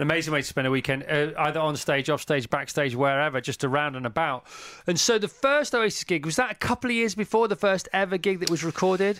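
Lively intonation at a very fast pace, with very even loudness, on a very clean recording with a silent background. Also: man, fairly high pitch for a man. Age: 50s. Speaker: podcast host. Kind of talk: interview.

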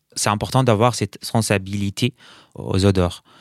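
A man with an Arabic accent, fairly low in pitch, at a fairly slow pace with fairly even intonation, in a very clean recording with a silent background. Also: dry, close sound with no echo. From Syria, Aleppo. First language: Arabic (speaking French). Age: 30s. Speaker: perfumer, political refugee. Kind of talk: interview. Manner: halting, many repetitions and hesitations.

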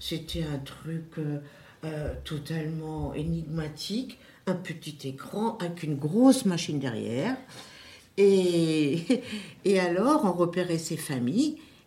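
Audible room echo surrounds a woman with a fairly low pitch and lively intonation. She talks very slowly, with long, frequent pauses. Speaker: club member. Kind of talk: group discussion.

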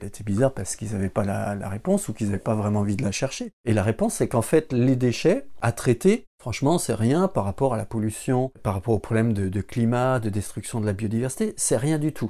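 A man talks at a fairly quick pace with hardly any pauses, his medium-pitched voice dark and mellow with ordinary pitch variation. The recording is very clean, with a silent background. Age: 40s. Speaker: civil servant. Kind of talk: testimony. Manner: halting.

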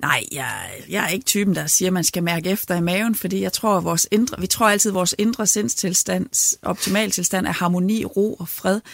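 A woman with vocal fry speaks at a fairly quick pace and ordinary pitch variation, her sound dry and close with no echo. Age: 40s. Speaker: parish priest and union chair. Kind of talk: interview.

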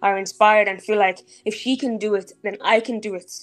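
A woman's fairly high voice in an Irish accent, very fast and flat in a monotone. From Ireland (Dublin, Clondalkin), born in Nigeria. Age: 20s. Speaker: entrepreneur and blogger. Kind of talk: casual interview.

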